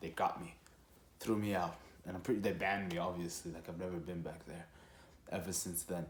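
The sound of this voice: A man's low voice at a moderate pace, with little pitch movement and audible room echo.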